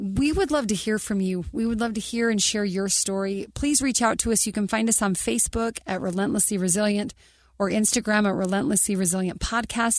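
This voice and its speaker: In an ordinary speaking voice, a woman talks at a fairly quick pace and fairly high pitch, with ordinary pitch variation and very even loudness over a quiet background. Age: 40s. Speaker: podcast co-host. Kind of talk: casual interview conversation.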